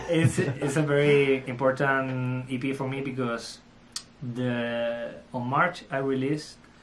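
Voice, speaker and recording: In a room with audible echo, a man with a Spanish accent talks at a fairly slow pace, medium in pitch with fairly even intonation. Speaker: electronic music producer and DJ. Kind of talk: interview. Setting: studio. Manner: halting.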